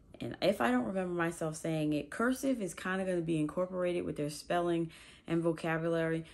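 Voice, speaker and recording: A woman with a plain, everyday voice, fairly low pitch, ordinary pitch variation and a fairly quick pace. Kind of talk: casual vlog chat. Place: home room. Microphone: phone near.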